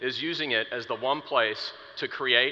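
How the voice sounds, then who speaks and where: Noticeable background noise can be heard while a male speaker talks. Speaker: product marketer. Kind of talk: conference keynote talk. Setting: stage with audience. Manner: animated.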